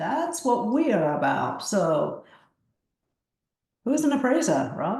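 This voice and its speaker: A woman's voice swings very widely in pitch, and audible room echo surrounds it. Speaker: appraisal department manager. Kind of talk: webinar presentation. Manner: hesitant, many fillers.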